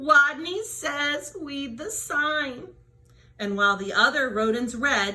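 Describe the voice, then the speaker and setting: In a squeaky, put-on character voice, a woman speaks at a high pitch and a fairly slow pace. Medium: read story.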